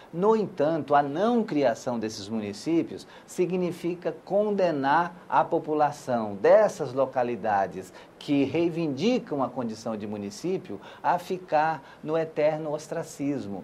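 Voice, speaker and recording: Pitched fairly high, a man speaks very slowly with very wide pitch swings and hardly any pauses. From Brazil, Acre. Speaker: senator. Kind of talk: interview. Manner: hesitant, many fillers.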